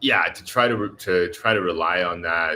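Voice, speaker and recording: A man's very deep, low pitch pairs with a bright, sharp tone. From US Southeast. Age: 30s. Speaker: YouTuber, expat vlogger. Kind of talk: live stream chat with viewers. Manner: casual, with many fillers.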